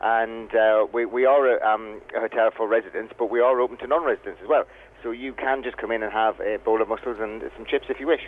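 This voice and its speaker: A man with a northern English accent talks at a very fast pace. His voice sits at medium pitch with fairly even intonation. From northern England. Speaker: hotel chef. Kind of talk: radio interview. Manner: halting.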